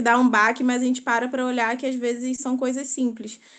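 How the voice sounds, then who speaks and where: Over a quiet background, a woman with a high pitch speaks at a fairly quick pace. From Brazil, Rio de Janeiro. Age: 20s. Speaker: participant in online prayer group. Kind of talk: testimony.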